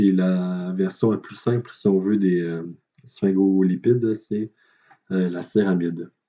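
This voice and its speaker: A man talks in a very deep, low voice at a very slow pace. His intonation stays fairly even. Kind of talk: educational lecture narration. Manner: hesitant, many filler words.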